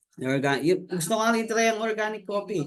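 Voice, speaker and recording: Very fast and with lively intonation, a man rattles off his words. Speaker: network marketing member, former overseas worker. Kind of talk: testimony. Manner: halting.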